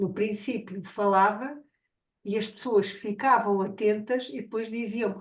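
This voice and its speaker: At a fairly slow pace, a woman speaks in a fairly high, somewhat breathy voice. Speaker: academic. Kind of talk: academic discussion.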